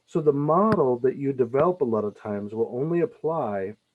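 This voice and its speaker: A man talks with very wide pitch swings. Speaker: math teacher. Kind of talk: tutorial. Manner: halting.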